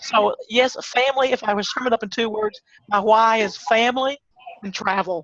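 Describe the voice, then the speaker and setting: Delivered at a moderate pace with an American accent, the speech has a dry, close sound with no echo. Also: woman, fairly high pitch for a woman. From Texas. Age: 60s. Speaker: online marketer, former small business owner. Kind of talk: interview. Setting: video call.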